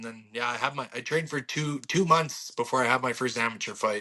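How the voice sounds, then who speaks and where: Very fast speech in a Canadian accent, with a bright, sharp tone and fairly even intonation. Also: man. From Alberta, Canada. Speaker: bare-knuckle boxer. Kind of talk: interview.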